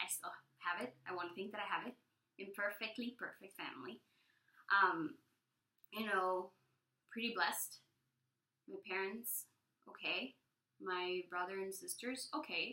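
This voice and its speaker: This woman has a Spanish accent and a medium pitch with ordinary pitch variation. She talks at a moderate pace, leaving long, frequent pauses. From El Salvador. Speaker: vlogger. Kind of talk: personal testimony vlog. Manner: hesitant, many fillers.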